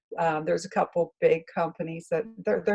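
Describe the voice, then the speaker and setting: The speaker is a woman with a fairly low pitch. She talks with a West Virginia accent. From West Virginia, Morgan County. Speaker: newspaper publisher. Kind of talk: interview answer.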